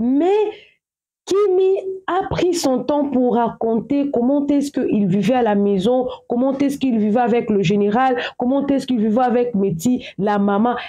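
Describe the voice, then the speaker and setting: Her pitch high and her intonation lively, a woman speaks at very even loudness. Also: fairly slow pace. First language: English or African language; speaks English at home (speaking French). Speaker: social media gossip commentator. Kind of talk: casual vlog commentary. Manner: halting, repetitive.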